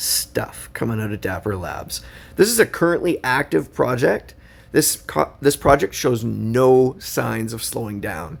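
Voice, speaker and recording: A man talks at a moderate pace. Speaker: YouTuber reviewing digital collectibles. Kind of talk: video review walkthrough. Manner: casual with frequent fillers.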